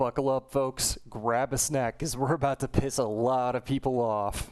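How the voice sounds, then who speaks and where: A man with monotone, flat intonation at a moderate pace. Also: medium pitch for a man. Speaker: video essayist. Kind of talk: video essay commentary over gameplay. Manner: some stuttering, filler words.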